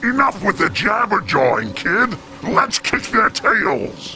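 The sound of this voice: Faint music plays behind a man doing a put-on character voice, high-pitched for a man, bright and sharp in tone, with big pitch swings and a slow pace.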